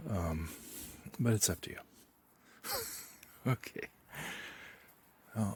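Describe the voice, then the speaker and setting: Quiet and fairly slow, a man speaks with long, frequent pauses. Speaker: UFO and spirituality vlogger. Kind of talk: casual vlog monologue. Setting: outdoors in backyard at night. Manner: speaking very quietly.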